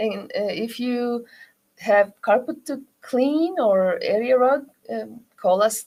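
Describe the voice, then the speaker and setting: A woman with a Turkish accent speaks very slowly in a high voice with a dark, mellow tone. Her pitch variation is ordinary. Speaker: rug shop owner. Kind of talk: interview. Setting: studio. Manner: halting.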